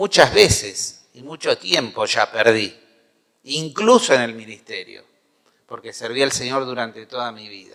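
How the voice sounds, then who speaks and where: In a Rioplatense accent, the voice moves at a fairly slow pace with big swings in loudness. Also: man. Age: 60s. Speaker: pastor. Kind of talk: sermon.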